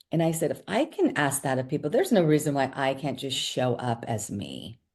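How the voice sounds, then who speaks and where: A woman with a very deep, low voice talks in an animated tone at a fairly quick pace, her pitch varying in an ordinary way. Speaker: former broadcast journalist. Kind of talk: interview. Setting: podcast. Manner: loud.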